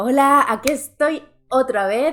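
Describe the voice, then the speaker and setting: With lively intonation, a woman's words come out at a very slow pace. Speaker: booktuber. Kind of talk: vlog. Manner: soft-spoken.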